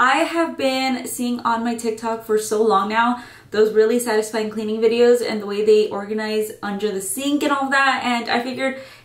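Audible room echo surrounds a woman who talks at a moderate pace with hardly any pauses and fairly even intonation. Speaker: vlogger. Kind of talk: casual vlog chat. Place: bathroom. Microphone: camera far.

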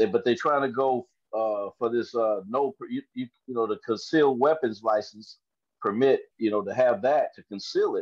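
A man talks at a moderate pace with a Southern US accent. The background is quiet. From US South. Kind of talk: panel discussion. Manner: halting. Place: home room. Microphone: video call.

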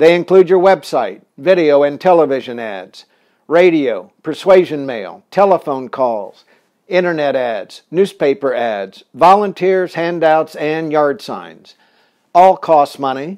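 A man's fairly high-pitched voice, a normal speaking voice, fairly slow, with lively intonation. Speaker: political consultant. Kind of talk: scripted narration, tutorial. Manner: formal, measured, authoritative.

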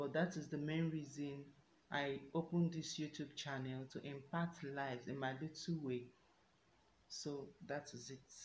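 Very deep, low female voice, somewhat breathy and monotone, at a fairly slow pace, with audible room echo and light background noise. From Nigeria, Enugu State; Nigeria. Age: 20s. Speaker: YouTuber. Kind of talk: self-introduction Q&A vlog. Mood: warm, earnest. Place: home room. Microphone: phone near.

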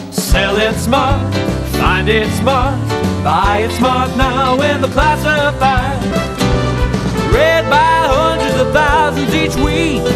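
Loud music plays in the background as a man speaks. His pace is very slow, broken by long, frequent pauses. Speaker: voice actor. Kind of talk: classified ads radio spot. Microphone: studio mic.

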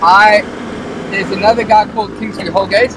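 Noticeable background noise fills this dry recording with no echo. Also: man. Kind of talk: conversational interview answer. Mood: thoughtful, earnest. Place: car.

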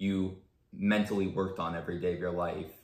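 Over a quiet background with audible room echo, a man speaks at a fairly low pitch with fairly even intonation. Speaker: chiropractor. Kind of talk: interview. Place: home room. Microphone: camera far.

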